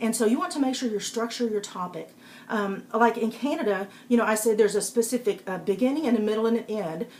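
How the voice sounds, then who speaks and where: Speaking with a Texas accent, a woman with a fairly high pitch talks at a fairly quick pace, her pitch varying normally, amid noticeable background noise. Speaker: public speaking coach and author. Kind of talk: live-stream talk giving tips. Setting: live video broadcast on iPad. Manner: casual, with frequent fillers.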